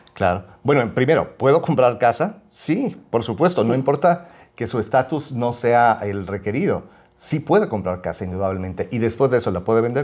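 An unremarkable speaking voice, a man at medium pitch with lively intonation and a fairly quick pace. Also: very clean recording, silent background. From Mexico City. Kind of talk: casual chat.

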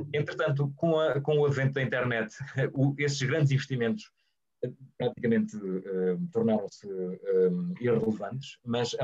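Speaking at a moderate pace, this man shows ordinary pitch variation. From Portugal, Guarda. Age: 30s. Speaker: journalist and radio professional. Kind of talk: webinar interview. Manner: halting, many repetitions and fillers.

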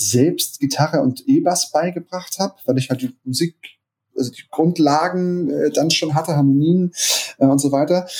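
A man's somewhat breathy, fairly high-pitched voice with a dark, mellow tone. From Hamburg, northern Germany. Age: 30s. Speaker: DJ and music producer. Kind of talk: podcast interview. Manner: hesitant, many fillers.

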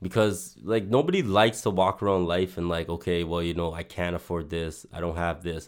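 A man speaks at a very deep, low pitch with hardly any pauses. The recording is very clean with a silent background. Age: 20s. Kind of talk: casual chat. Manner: hesitant, filler-heavy.

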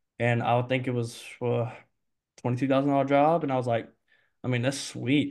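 Against a quiet background, a man with an Alabama accent speaks at a fairly high pitch. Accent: Southern US (Alabama). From US South, Mobile, Alabama. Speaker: HVAC salesman. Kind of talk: casual interview chat.

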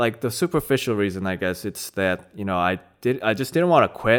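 A man speaks with a Korean accent. The recording is very clean, with a silent background. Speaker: judo practitioner and natural language processing researcher. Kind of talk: casual interview chat. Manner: laid-back, hesitant, laughs often.

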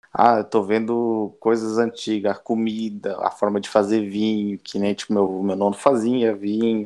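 This man has a fairly low pitch and a dark, mellow tone. He speaks at a moderate pace in a monotone, flat intonation, with hardly any pauses. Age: 20s. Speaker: Italian-Brazilian emigrant. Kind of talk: interview.

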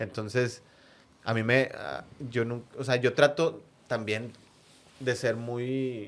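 Long, frequent pauses break up this very slow speech, which keeps a fairly even intonation. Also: man, medium pitch for a man. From Monterrey, Mexico (San Nicolás). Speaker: football fan, supporters' group member. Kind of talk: casual interview, personal stories. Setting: studio with headphones.

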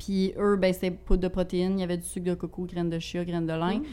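Very fast and monotone, a woman with a Quebec accent speaks at a medium pitch in a dark, mellow tone with flat intonation. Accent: regional Quebec French. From Quebec, Bas-Saint-Laurent (Rivière-du-Loup). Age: 20s. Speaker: healthy recipe content creator. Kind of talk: casual interview chat.

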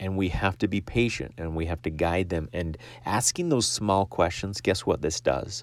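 At a moderate pace, a man with a very deep, low pitch speaks with ordinary pitch variation and vocal fry on a very clean recording with a silent background. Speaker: life insurance agent and podcast host. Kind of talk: solo podcast monologue with sales advice. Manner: excitable, animated.

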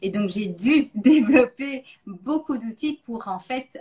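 Somewhat breathy and with lively intonation, a woman speaks at a very slow pace. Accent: slight Belgian. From Belgium. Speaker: nutrition coach and interviewer. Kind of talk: interview on a live stream.

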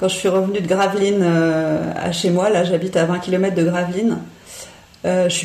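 A moderate tempo and fairly flat intonation amid audible background noise. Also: woman. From Paris, France. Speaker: cycling educator. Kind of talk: interview. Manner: hesitant, filler-heavy.

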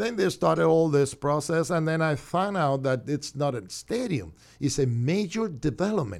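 With hardly any pauses, a man with a Cuban accent swings his pitch very widely on a very clean recording with a silent background. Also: fairly high pitch for a man, moderate pace. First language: Spanish. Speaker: city commissioner. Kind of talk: radio interview. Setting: studio.

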